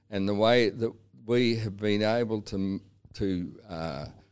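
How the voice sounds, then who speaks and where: Speaking fairly slowly, a man uses a fairly low pitch and an Australian accent. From Australia, south-west Victoria. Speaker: cattle farmer. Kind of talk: interview. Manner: halting.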